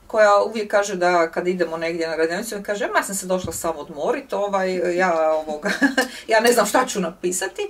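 At a fairly quick pace, a woman with medium pitch and ordinary pitch variation speaks in an ordinary speaking voice. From Zagreb, Croatia; Croatia. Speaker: writer and workshop leader; guest. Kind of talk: public talk interview. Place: home room.

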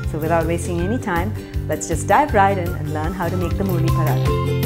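A woman speaks with clear music playing in the background. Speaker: cooking show host. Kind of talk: tutorial intro. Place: kitchen. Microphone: lapel.

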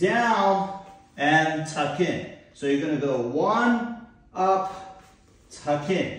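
Through strong room echo, a high-pitched man speaks at a very slow pace. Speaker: fitness instructor. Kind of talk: exercise class instruction. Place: gym.

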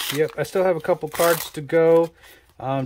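Background noise is noticeable throughout. A man talks at a moderate speed. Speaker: card game collector. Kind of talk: casual talk to camera.

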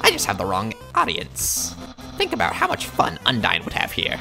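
Clear music in the background behind a put-on character voice delivered at a moderate pace. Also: man. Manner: loud, dramatic, earnest.

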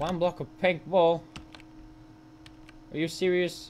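A man's fairly high voice, slow and with little pitch movement. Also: slightly mellow tone.

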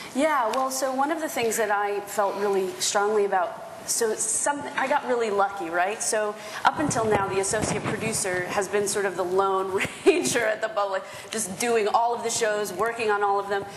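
With an American accent, a woman speaks at a moderate pace and medium pitch with ordinary pitch variation, amid audible room echo and light background noise. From US, Spanish and Dominican heritage. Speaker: theatre producer; panelist. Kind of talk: panel discussion. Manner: casual, animated. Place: hall.

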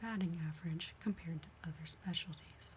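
A soft-spoken woman with ordinary pitch variation, light background noise behind her. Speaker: reader of a medical memoir. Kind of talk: reading aloud from a book. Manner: soft, hushed ASMR reading voice. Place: home room. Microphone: webcam.

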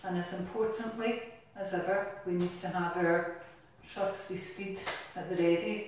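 A woman speaks at a very slow pace with fairly even intonation, her voice carrying a strong room echo over light background noise. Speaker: exercise class instructor. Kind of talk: exercise class instruction. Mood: cheerful, encouraging, playful. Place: bathroom.

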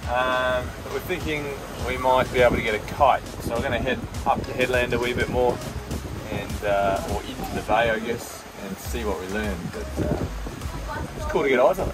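With clear music in the background, the speaker moves at a moderate pace, leaving long, frequent pauses. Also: man. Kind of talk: casual vlog chat. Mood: relaxed, pleased. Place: boat. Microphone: phone near.

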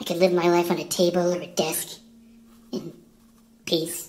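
In a cartoonish character voice, a woman talks at a moderate pace with fairly low pitch. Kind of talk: mock-tragic hard-boiled monologue. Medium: puppet show. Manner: bleak, brooding, dramatic.

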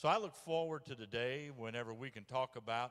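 A man's voice has a bright, sharp tone, heard against a quiet background. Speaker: pastor. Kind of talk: church announcements and introduction. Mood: warm, friendly. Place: church. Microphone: handheld.

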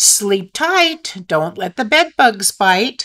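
A woman shouts in a put-on character voice at a fairly high pitch, pitch swinging very widely. Her pace is very slow. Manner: shouted, teasing.

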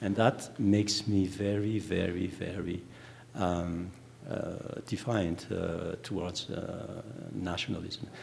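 A man with a very deep, low, somewhat breathy voice speaks at a very slow pace with fairly even intonation over light background noise. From Madagascar. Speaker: novelist; panelist. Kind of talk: panel discussion. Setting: stage with audience. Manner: halting. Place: stage. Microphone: handheld.

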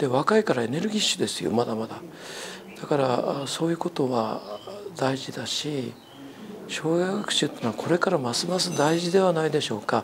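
Over noticeable background noise, a man speaks at a fairly quick pace with lively intonation. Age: old. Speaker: retired teacher and amateur astronomy club president; retired teacher. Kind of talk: interview talk. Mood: calm, friendly. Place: home room. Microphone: lapel.

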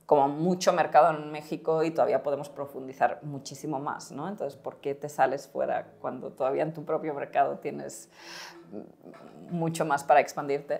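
A woman speaks at a moderate pace with a very deep, low pitch and monotone, flat intonation. Her loudness swings widely. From Spain. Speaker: startup co-founder; guest. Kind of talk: interview. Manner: halting. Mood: friendly, smiling. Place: studio. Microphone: lapel.

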